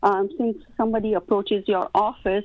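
In an ordinary speaking voice, a woman talks at a fairly slow pace with a fairly high pitch. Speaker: caller. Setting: phone call.

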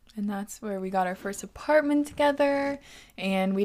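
A woman's unremarkable speaking voice at medium pitch, with an American accent and lively intonation, on a very clean recording with a silent background. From Washington State, US. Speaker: podcast host. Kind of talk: casual chat. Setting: studio.

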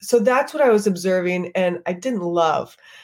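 On a very clean recording with a silent background, a woman with an American accent and a plain, everyday voice talks at a moderate pace with ordinary pitch variation. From Texas, New Braunfels. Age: 30s. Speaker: birth and fitness company founder. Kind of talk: casual interview chat.

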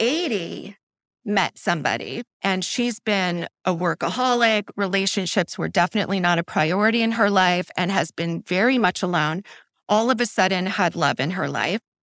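A woman with an ordinary speaking voice, medium pitch and ordinary pitch variation at a moderate pace, in a dry, close sound with no echo. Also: very clean recording, silent background. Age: 40s. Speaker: coaching client. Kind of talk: candid interview about personal life.

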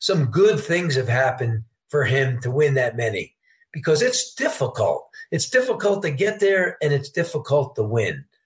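A man with an American accent talks at a moderate pace in a fairly high, somewhat breathy voice whose pitch swings very widely. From New York State, Poughkeepsie. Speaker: sportsbook director. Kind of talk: interview.

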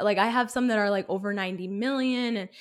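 In a normal speaking voice, a woman talks at a fairly quick pace and fairly high pitch with fairly even intonation, on a very clean recording with a silent background. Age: 20s. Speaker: YouTube creator. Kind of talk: interview. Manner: casual, filler-heavy.

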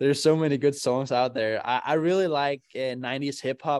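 A very clean recording with a silent background, in a Danish accent, with ordinary pitch variation. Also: man. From Denmark. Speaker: racing driver. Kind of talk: interview.

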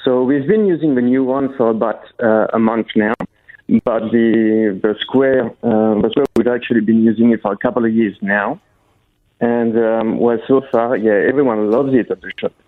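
At a moderate pace, a man with medium pitch and fairly even intonation speaks in a plain, everyday voice. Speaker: patisserie owner. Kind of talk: interview. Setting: phone call.

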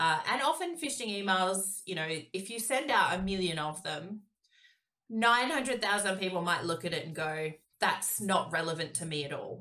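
Speaking with an Australian accent, a woman uses a medium pitch, lively intonation and a moderate pace. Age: 30s. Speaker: cyber security professional. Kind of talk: casual chat.

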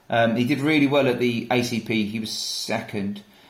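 A medium-pitched man with audible room echo. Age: 30s. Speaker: ultra runner and endurance team training manager. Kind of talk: casual interview.

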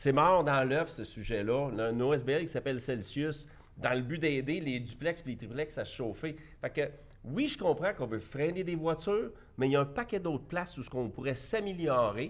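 A man with a plain, everyday voice, fairly high in pitch, at a moderate pace. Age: 50s. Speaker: entrepreneur. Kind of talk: debate.

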